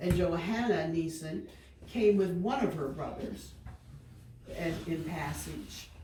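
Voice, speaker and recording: With an American accent, the speaker goes at a very slow pace with long, frequent pauses. Noticeable background noise runs underneath. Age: 60s. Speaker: family historian speaking at local history presentation. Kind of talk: casual group conversation.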